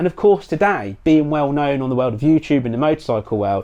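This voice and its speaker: A man with an English accent speaks with a fairly high pitch and a dark, mellow tone. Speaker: motorcycle YouTuber and podcast host. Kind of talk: casual podcast monologue. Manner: animated.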